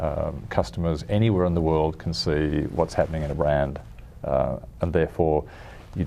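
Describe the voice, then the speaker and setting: The voice moves at a moderate pace with an Australian accent. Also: man. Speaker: car design executive. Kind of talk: interview. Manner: halting, many restarts.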